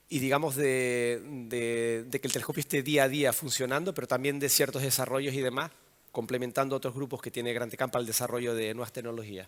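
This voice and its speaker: Very fast pace with fairly even intonation. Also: man, medium pitch for a man. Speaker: telecom engineer, observatory operations head. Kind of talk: conference talk. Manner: halting, many fillers and restarts.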